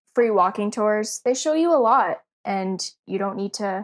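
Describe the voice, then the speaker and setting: On a very clean recording with a silent background, a woman with a Canadian accent uses a plain, everyday voice at a moderate pace, with medium pitch and ordinary pitch variation. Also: dry, close sound with no echo. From Canada. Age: 20s. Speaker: podcast guest, traveler. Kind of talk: casual chat.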